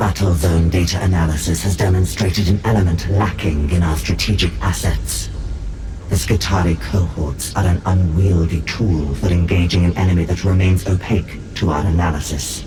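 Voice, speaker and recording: Loud background noise sits behind a put-on character voice. A man uses a very deep, low pitch. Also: moderate pace. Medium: short film. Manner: clinical, emotionless.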